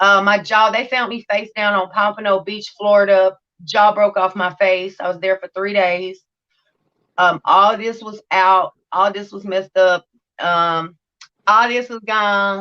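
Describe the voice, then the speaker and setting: A loud woman's voice at medium pitch with a bright, sharp tone, monotone and flat intonation, and a fairly slow pace. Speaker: recovery channel host sharing her story. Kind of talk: testimony. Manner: unusual speech due to hearing loss.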